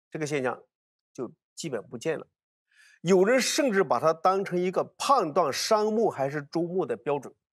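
A man's high, animated voice with very wide pitch swings, at a moderate pace with long, frequent pauses, against a quiet background. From China, Hunan (Hunan-Jiangxi border). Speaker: archaeologist. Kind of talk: casual chat. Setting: studio. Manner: animated, repetitive. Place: studio. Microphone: lapel.

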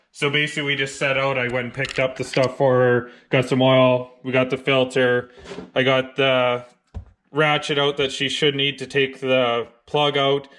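A man speaks at a moderate pace in a monotone, flat delivery over light background noise. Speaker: car DIY vlogger. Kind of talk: casual vlog chat. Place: garage. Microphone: phone near.

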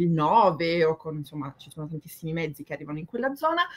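A woman talks with lively intonation. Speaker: theatre columnist; guest. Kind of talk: casual chat. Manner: halting. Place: home room. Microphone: video call.

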